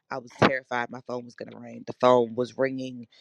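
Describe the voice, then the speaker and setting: A woman speaks at a very deep, low pitch in a monotone, flat intonation. Her moderate pace comes through a dry, close sound with no echo. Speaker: church member. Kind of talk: testimony.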